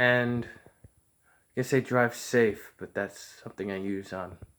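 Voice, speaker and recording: Mumbled speech from a man with fairly even intonation, on a very clean recording with a silent background. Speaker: vlogger. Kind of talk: casual monologue. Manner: mumbling; unscripted, halting.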